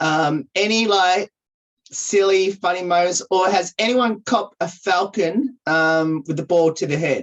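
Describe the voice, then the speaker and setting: A woman with an Australian accent talks at a fairly slow pace, her medium pitch varying in an ordinary way. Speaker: radio host. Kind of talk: casual interview. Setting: video call.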